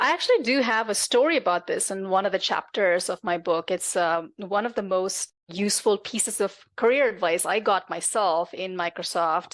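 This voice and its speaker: A woman speaks with a non-native accent and ordinary pitch variation. The background is quiet. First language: not English. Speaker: tech executive and author. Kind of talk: interview conversation.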